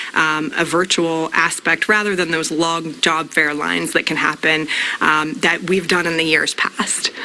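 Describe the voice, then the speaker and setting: With fairly even intonation and a fairly low pitch, a woman speaks at a moderate pace against noticeable background noise. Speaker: company representative giving hiring information. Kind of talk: interview answer on a morning show.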